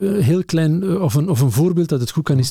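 In a dark, mellow, somewhat breathy voice, a man speaks fairly slowly with lively intonation, the sound dry and close with no echo. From Flanders, Lokeren (East Flanders). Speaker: museum director. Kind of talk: casual interview. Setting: studio table.

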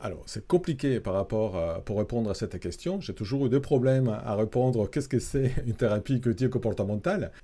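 In a very clean recording with a silent background, a man talks at a fairly quick pace with hardly any pauses. His medium-pitched voice has a dark, mellow tone and lively intonation. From Italy. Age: 50s. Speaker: psychology professor and clinical psychologist. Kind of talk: interview. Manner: halting, many fillers.

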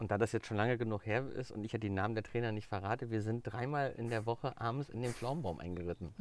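Talking very fast with hardly any pauses, a man speaks at a medium pitch with ordinary pitch variation. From Mecklenburg-Vorpommern, Germany. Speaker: hairdresser and color trainer. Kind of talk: casual interview. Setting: outdoors in a garden.

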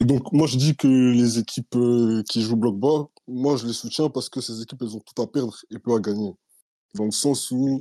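A man of medium pitch speaks at a moderate pace in a dark, mellow tone with fairly even intonation, on a very clean, dry, close recording with a silent background and no echo. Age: 20s. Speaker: communication student. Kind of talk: opinion monologue.

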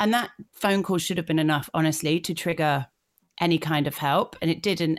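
In a Yorkshire accent, a woman talks at a fairly quick pace. Her pitch is fairly low and her intonation fairly even. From northern England, North Yorkshire. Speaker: blogger and digital creator. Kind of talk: interview.

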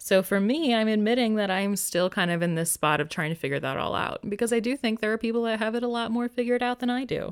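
A woman with a fairly high voice and lively intonation races along at a very fast pace with hardly any pauses, in a very clean recording with a silent background. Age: 20s. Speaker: podcast host. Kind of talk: casual monologue.

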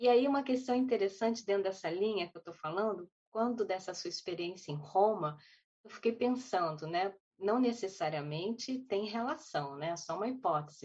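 A woman speaks at medium pitch and a moderate pace, sounding somewhat breathy. Her intonation is lively, with big swings in loudness. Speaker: panelist. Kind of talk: online panel discussion. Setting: video call.

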